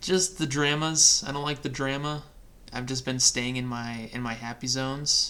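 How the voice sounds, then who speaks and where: Mumbling at a moderate pace, a man with an American accent talks at fairly high pitch with fairly even intonation. Background noise is noticeable. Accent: Midwestern with a bit of old man country. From Chicago suburbs, US Midwest. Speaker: podcast host. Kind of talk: casual chat.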